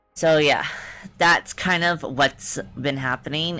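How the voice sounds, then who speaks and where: There is music in the background. Over it, a woman talks. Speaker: vtuber streamer. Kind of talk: casual chat. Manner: restricted, stilted mouth movement.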